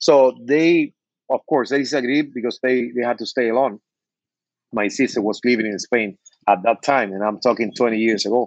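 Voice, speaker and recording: Speaking at a moderate pace with a Spanish accent, a man uses a medium pitch and ordinary pitch variation in a dry, close sound with no echo. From Cuba. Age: 50s. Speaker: bartender and cigar brand owner. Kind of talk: interview.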